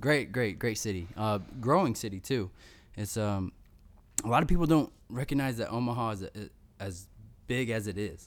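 A man speaks with an American accent in a normal speaking voice, his pitch medium. He talks at a moderate pace on a very clean recording with a silent background. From Missouri, US Midwest. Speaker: war veteran and motivational speaker. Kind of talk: casual interview. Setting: in person, same room as host.

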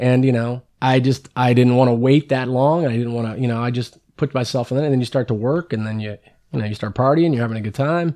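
A man with an American accent speaks at a very fast pace, with hardly any pauses and fairly even intonation. His medium-pitched voice is dark and mellow, on a very clean recording with a silent background. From San Francisco Bay Area, California. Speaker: garbage business worker, former radio intern. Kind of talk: casual chat.

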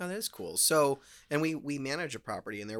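Talking at a very fast pace, a man with an American accent and a fairly high pitch is heard on a very clean recording with a silent background. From Las Vegas, Nevada. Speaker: real estate broker and podcast host. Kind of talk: casual interview.

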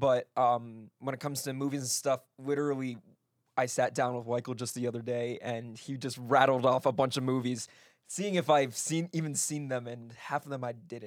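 The recording is very clean, with a silent background. A plain, everyday voice moves at a moderate pace with fairly even intonation. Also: man, medium pitch for a man. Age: 20s. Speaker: podcast panelist. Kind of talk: casual chat.

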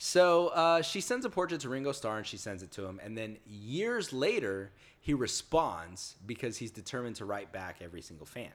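Speaking at a moderate pace with an American accent, a man lets his pitch swing very widely. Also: medium pitch for a man, big swings in loudness. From US South. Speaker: podcast co-host. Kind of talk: casual chat.

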